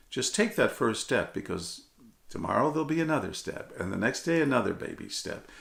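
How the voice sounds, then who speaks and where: A man's bright, sharp tone touched with vocal fry. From Texas, San Antonio (Mexican-American, migrant farmworker family). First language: Spanish. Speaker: television reporter, keynote speaker. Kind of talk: motivational speech. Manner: animated.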